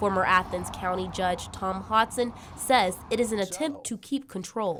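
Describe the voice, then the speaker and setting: With a plain, everyday voice, a woman speaks at a moderate pace and ordinary pitch variation. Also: medium pitch for a woman. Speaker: news reporter. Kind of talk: TV news report.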